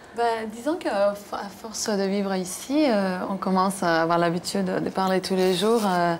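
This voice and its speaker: Over noticeable background noise, a woman with a Cuban accent speaks at a moderate pace with ordinary pitch variation and very even loudness. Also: medium pitch for a woman. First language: Spanish (speaking French). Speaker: singer. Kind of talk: TV interview.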